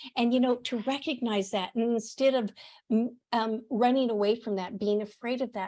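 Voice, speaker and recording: At a moderate pace, a woman talks in an unremarkable speaking voice, fairly high-pitched with fairly even intonation. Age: 60s. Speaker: podcast host and author, interview guest. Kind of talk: casual interview chat.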